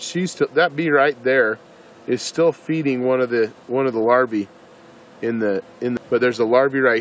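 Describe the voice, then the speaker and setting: At a moderate pace and with ordinary pitch variation, the speech has a dry sound with no echo and light background noise. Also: man. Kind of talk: tutorial. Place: garden. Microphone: phone near.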